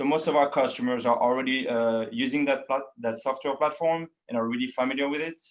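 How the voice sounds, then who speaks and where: A man speaks in a French accent at a medium pitch with fairly even intonation. His pace is fairly quick, with hardly any pauses. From France (Paris). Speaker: account manager. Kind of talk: webinar presentation. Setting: online webinar. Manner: hesitant, many fillers.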